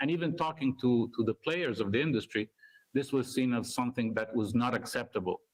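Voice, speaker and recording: A man talks at a fairly quick pace in a medium pitch. His pitch varies in an ordinary way and his loudness stays very even. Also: dry, close sound with no echo. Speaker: university researcher. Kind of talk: conference talk. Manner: fast.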